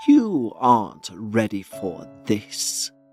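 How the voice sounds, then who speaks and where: Over faint background music, a man at medium pitch performs a put-on character voice. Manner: creepy.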